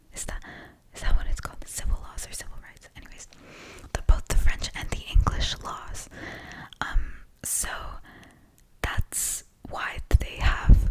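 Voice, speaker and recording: Someone whispers at a fairly slow pace, with long, frequent pauses. Noticeable background noise sits behind the voice. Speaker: student. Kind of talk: study lecture ramble. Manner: whispered.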